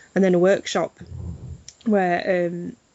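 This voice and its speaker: A woman with a Yorkshire accent, fairly low in pitch, with monotone, flat intonation. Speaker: literary festival organiser. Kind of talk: interview.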